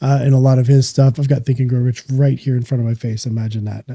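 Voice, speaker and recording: Somewhat breathy and dark, mellow in tone, a man speaks very fast with monotone, flat intonation. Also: dry, close sound with no echo. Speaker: podcast host. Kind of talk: solo podcast monologue. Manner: casual, conversational.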